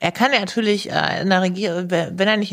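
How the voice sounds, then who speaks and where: On a very clean recording with a silent background, a woman uses a normal speaking voice at a medium pitch and moderate pace. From Hannover area, Germany. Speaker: professional soldier and author. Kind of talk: interview.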